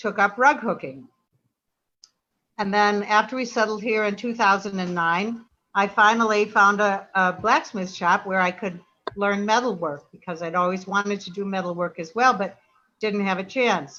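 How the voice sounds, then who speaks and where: A woman speaks at a moderate pace with a medium pitch and ordinary pitch variation. Her tone is bright and sharp. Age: 70s. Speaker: artist. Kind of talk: virtual artist talk.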